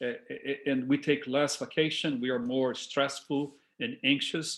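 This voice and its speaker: In a quiet background, a man speaks with a Brazilian Portuguese accent at a fairly high pitch. His pace is moderate and his intonation fairly even. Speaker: discussion leader. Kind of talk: talk to a discussion group. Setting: video call. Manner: halting.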